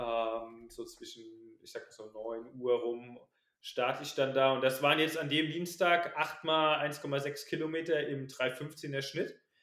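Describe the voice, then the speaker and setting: A man's fairly high-pitched, normal speaking voice, fairly even in intonation and fairly slow in pace. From Palatinate, Germany (near Kaiserslautern). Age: 20s. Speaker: runner and student. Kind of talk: casual interview.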